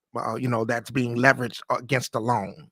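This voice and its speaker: A man's bright, sharp voice, dry and close with no echo, on a very clean recording with a silent background. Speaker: podcast host. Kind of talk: live solo podcast monologue on investing. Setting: live stream. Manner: fast; halting, many fillers and restarts.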